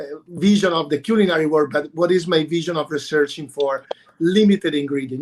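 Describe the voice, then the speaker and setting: The speaker talks at a fairly quick pace with an Italian accent. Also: man. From Italy, Bologna. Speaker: chef and restaurateur. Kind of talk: panel discussion. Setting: livestream. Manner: animated.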